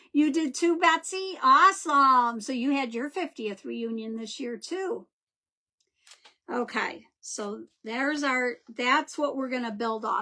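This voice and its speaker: A woman speaks in a high voice with lively intonation and big swings in loudness. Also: fairly slow pace. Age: 60s. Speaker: craft instructor. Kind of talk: live craft tutorial with viewer chat. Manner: chatty, warm.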